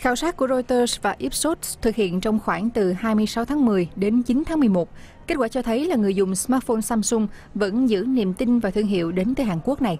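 Lively intonation and a fairly high pitch mark this woman's dark, mellow tone as she talks at a fairly quick pace.

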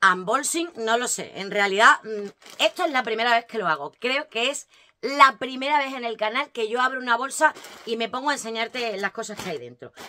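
Animated and with lively intonation, a woman speaks in a bright, sharp tone, her loudness swinging widely. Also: moderate pace. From Spain. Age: 40s. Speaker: lifestyle vlogger. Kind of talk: casual unboxing vlog. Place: home room. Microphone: phone near.

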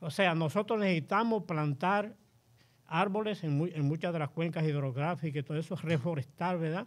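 Speaking at a moderate pace over a quiet background, a man with a high pitch shows ordinary pitch variation. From Dominican Republic, Cibao and Nagua. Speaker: engineer and conservationist. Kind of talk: panel discussion.

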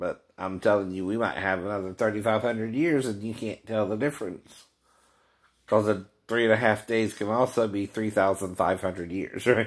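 At a moderate pace, a man speaks in a fairly low voice with fairly even intonation over a quiet background. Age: 50s. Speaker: vlogger. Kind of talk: casual monologue. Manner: frequent laughing. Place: home room. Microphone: phone near.

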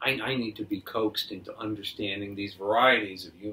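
A man with a fairly low pitch and a bright, sharp tone speaks at a fairly quick pace. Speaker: improv comedian. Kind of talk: improvised comedy scene. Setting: apartment. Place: home room. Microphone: camera far.

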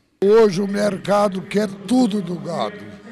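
A high-voiced man in a monotone, flat intonation, with a dry sound with no echo and noticeable background noise. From rural Brazil, raised on a farm. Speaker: cattle breeder, ranch owner. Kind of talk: interview. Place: garden. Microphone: handheld.

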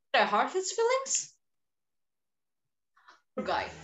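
A woman's put-on character voice, high-pitched and slow, with very wide pitch swings. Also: fairly bright tone.

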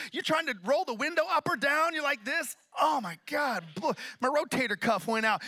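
An animated man with an extremely high pitch and an American accent, raised and projected, bright and sharp in tone, with lively intonation at a moderate pace against a quiet background. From Oklahoma (Tulsa); Oklahoma. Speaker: pastor. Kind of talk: sermon. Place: church. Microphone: handheld.

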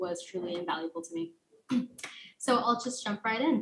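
A woman talks at a fairly quick pace. Her voice is somewhat breathy. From Texas, El Paso; Texas. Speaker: university student, fellowship presenter; presenter. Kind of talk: academic presentation. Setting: remote video call. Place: home room. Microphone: webcam.

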